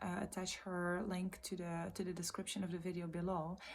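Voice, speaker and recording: Soft-spoken and somewhat breathy, a woman of medium pitch speaks at a moderate pace in a flat monotone. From Belgium. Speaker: vlogger, trainee vocal coach and life coach. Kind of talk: casual vlog monologue. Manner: halting.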